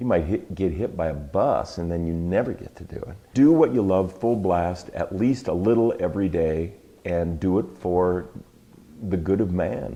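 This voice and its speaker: At a moderate pace, a man speaks in a very deep, low pitch with a dark, mellow tone and ordinary pitch variation. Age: 60s. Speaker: artist. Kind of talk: interview. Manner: animated.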